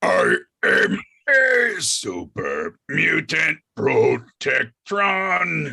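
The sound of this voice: A man puts on a character voice. He speaks at a very slow pace.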